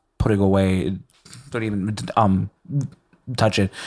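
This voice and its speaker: In a Puerto Rican accent, a man talks at a fairly slow pace, his fairly low pitch showing ordinary variation. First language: Spanish. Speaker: rapper. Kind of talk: casual chat.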